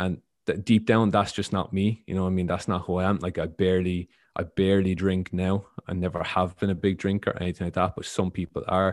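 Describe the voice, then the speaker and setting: Against a quiet background, a man with an Irish accent talks at a very fast pace in a very deep, low voice with monotone, flat intonation. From Ireland. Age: 20s. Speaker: football coach and former player. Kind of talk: interview.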